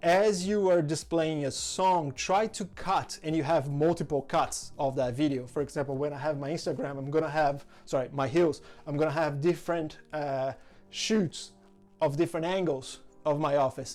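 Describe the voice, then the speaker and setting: At a moderate pace, a man with a strong non-native accent speaks at a fairly high pitch with ordinary pitch variation. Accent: strong foreign. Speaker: content creator, social media tutorial host. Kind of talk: tutorial. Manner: casual, enthusiastic.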